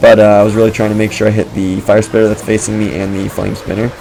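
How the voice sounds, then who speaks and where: Over noticeable background noise, a man talks at a very fast pace in a fairly low, monotone voice with flat intonation. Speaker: gaming video creator. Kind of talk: gameplay commentary. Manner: casual, filler-heavy.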